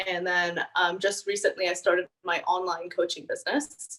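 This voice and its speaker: A woman speaks at a medium pitch. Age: 20s. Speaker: kinesiologist and online fitness coach. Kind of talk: interview.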